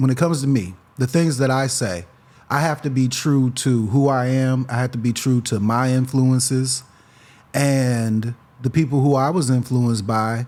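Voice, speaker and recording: In a very clean recording with a silent background, a man with an American accent speaks at medium pitch and a moderate pace in an unremarkable speaking voice. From Freeport, Illinois. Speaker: rapper. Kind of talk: casual interview chat.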